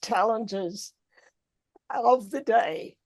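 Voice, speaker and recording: In a dry, close sound with no echo, a woman talks in an Australian accent. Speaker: president of a learned society. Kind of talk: formal speech. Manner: formal.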